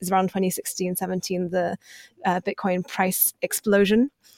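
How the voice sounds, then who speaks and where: A woman with a British accent at a fairly quick pace, in a dry, close recording with no echo. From UK, moved from China at age four. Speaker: journalist. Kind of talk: interview.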